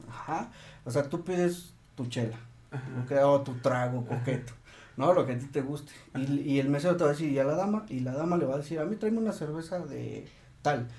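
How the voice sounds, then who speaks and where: Audible room echo surrounds a man with a Mexican accent and a fairly high pitch. He talks fairly quickly with ordinary pitch variation, yet leaves long, frequent pauses. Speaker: podcast co-host, health worker. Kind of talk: casual chat.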